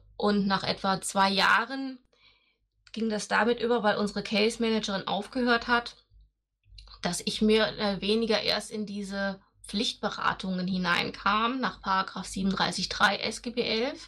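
A very slow pace, fairly even intonation and a bright, sharp tone. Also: woman, medium pitch for a woman. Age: 40s. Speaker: nurse. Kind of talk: casual interview.

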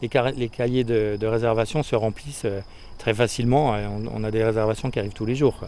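At a moderate pace, a man speaks. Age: 40s. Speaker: guesthouse owner. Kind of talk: interview. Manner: hesitant, with repetitions.

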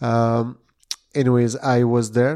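With a Quebec accent, a man speaks fairly slowly in a dark, mellow tone at a medium pitch. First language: French. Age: 40s. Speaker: retired MMA fighter, martial arts instructor. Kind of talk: casual interview. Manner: halting.

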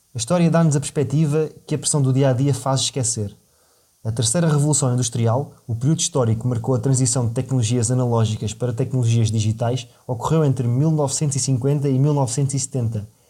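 This man has a European Portuguese accent and a dark, mellow, somewhat breathy tone. He keeps a moderate pace with very even loudness. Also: medium pitch for a man, fairly even intonation. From Portugal. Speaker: podcast host. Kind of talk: scripted narration.

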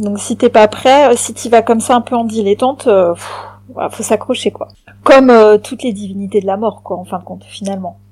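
A woman speaks in an ordinary speaking voice, fairly high-pitched and at a fairly quick pace. Her intonation stays fairly even while her loudness swings widely. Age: 40s. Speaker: podcast guest. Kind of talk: casual chat.

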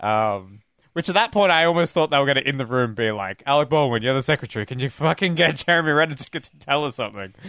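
The delivery is very fast and playful. Its tone is bright and sharp, with lively intonation. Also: man, fairly high pitch for a man. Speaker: podcast host. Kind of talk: casual chat. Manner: joking, playful.

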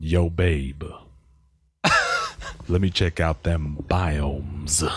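A man's put-on character voice, very deep and low in pitch, monotone and flat, at a very slow pace. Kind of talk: slangy, casual. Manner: suave, sweet-talking, playful.

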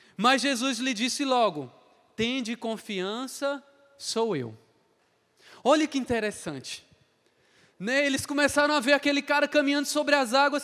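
A man talks at an extremely high pitch with a bright, sharp tone and ordinary pitch variation. His pace is fairly slow, broken by long, frequent pauses. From Ceará, Brazil (Crato). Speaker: lay missionary / seminarian preacher. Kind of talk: sermon. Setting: online youth congress broadcast.

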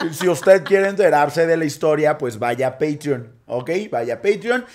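A man talks at a fairly quick pace. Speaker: podcast co-host. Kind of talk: casual chat.

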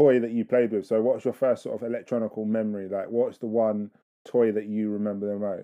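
A man with an ordinary speaking voice talks at a medium pitch and moderate pace. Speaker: podcast host. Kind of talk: casual interview chat. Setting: phone call.

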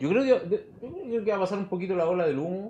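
A man in a Chilean accent with very wide pitch swings, over a quiet background. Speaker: recycling entrepreneur. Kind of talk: casual interview chat.

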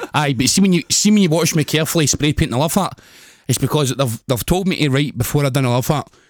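A man with a Glasgow accent talks very fast at a fairly high pitch, with ordinary pitch variation and very even loudness, in a very clean recording with a silent background. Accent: Scottish (Glasgow area). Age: 20s. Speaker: professional wrestler. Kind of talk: casual chat.

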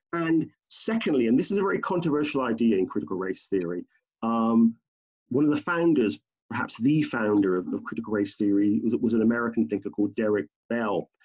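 A man with a British accent at medium pitch, fairly quick, with very wide pitch swings over a quiet background. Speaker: professor. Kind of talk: interview. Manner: halting.

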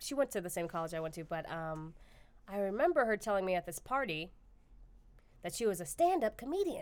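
On a very clean recording with a silent background, a woman talks at a fairly quick pace with very wide pitch swings. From Texas, Austin. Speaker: stand-up comedian. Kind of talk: casual chat. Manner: fast.

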